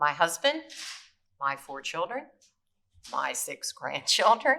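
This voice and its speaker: A bright, sharp tone with vocal fry, very wide pitch swings and a very slow pace. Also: woman, fairly high pitch for a woman. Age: 70s. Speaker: cancer survivor, patient advocate. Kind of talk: prepared testimony. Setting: briefing room on Capitol Hill.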